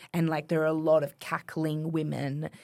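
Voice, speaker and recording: In a very clean recording with a silent background, a woman speaks at a moderate pace with an Australian accent. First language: French. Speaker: writer. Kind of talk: casual chat.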